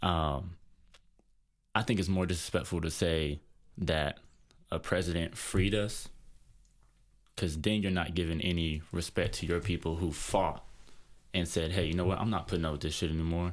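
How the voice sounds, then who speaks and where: Speaking quietly at a moderate pace, a man with a very deep, low voice keeps his intonation fairly even and leaves long, frequent pauses. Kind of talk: casual discussion, opinion monologue. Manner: quiet in person but talks passionately.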